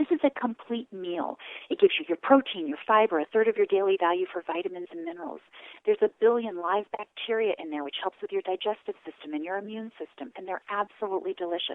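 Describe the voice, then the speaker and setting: At a very fast pace, a woman of medium pitch talks with lively intonation. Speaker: direct sales presenter. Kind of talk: sales pitch. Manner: animated.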